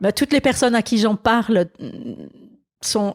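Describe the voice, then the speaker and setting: The recording is very clean with a silent background and a dry, close sound with no echo, and the pitch varies in an ordinary way. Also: woman. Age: 60s. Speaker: pastor. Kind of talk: interview. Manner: halting.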